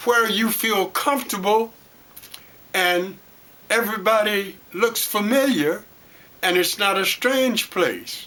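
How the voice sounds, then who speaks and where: A man with an American accent speaks very slowly in a raised, projected voice, high-pitched for a man, with lively intonation over noticeable background noise. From Detroit, Michigan. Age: 80s+. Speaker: storyteller and former city councilman. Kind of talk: interview. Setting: at home.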